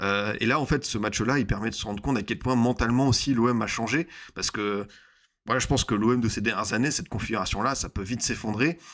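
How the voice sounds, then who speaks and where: A man talks very fast, his pitch moving in an ordinary way, with the background quiet. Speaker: football YouTuber / streamer; football streamer. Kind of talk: casual live football debrief. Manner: hesitant, many fillers and repetitions.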